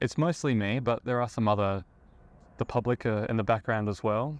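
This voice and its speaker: In a relaxed tone, a man with an Australian accent talks at a fairly quick pace and medium pitch. The background is quiet. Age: 30s. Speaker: IT worker in visual effects, live sound engineer. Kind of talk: casual interview. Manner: relaxed, with frequent fillers.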